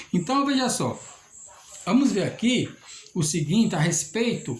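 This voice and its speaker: A man speaks at a moderate pace with a high pitch and very wide pitch swings. There is audible room echo. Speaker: lay preacher. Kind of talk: sermon.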